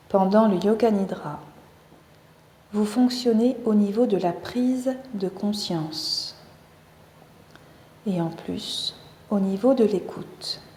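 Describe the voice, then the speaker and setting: A woman talks at a very slow pace and a fairly high pitch. Noticeable background noise runs behind her. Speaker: yoga teacher. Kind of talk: guided meditation. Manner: soft-spoken.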